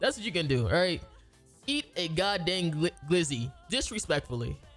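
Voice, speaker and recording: A man speaks at a moderate pace in an animated tone with lively intonation, music playing in the background. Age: 20s. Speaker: YouTube creator doing a discussion video. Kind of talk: casual slang. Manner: animated, rambling.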